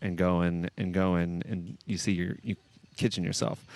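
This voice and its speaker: A man with an American accent speaks at a moderate pace. His pitch is very deep and low, and the background is quiet. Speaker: shuffleboard commentator and channel host. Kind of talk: live commentary. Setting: outdoors at shuffleboard courts. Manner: casual, relaxed.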